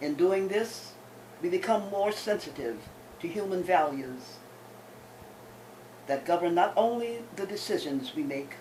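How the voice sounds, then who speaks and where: A woman's medium-pitched voice in very wide pitch swings, at a fairly slow pace with long, frequent pauses and audible room echo. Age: 80s+. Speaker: poet. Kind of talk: reading aloud. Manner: formal.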